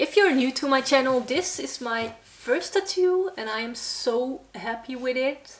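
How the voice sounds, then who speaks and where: A woman's high-pitched voice with hardly any pauses. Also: lively intonation. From Netherlands, Brabant (south). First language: Dutch. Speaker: metal vlogger and band musician. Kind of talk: casual Q&A vlog. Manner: halting, searching for words.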